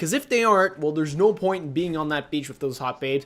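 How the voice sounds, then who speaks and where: A man with a Quebec accent speaks with lively intonation in a very clean recording with a silent background. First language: French. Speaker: gaming YouTuber. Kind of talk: casual Q&A chat.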